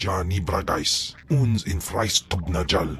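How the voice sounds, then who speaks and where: Over clear background noise, a man in a put-on character voice hisses at a fairly slow pace with a very deep, low pitch. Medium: video game. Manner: speaks alien language.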